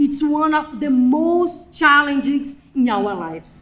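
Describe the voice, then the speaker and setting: A woman with a non-native accent speaks very slowly. Her voice sits high for a woman, with ordinary pitch variation. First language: not English. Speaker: graduate student speaker. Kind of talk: ceremony speech. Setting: graduation ceremony with audience.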